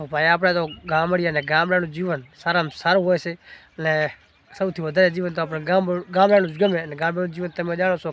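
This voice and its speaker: This is a man talking. His pitch sits high for a man. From Gujarat, India (village). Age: 20s. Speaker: family vlogger. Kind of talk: Q&A vlog. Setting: outdoors on a farm.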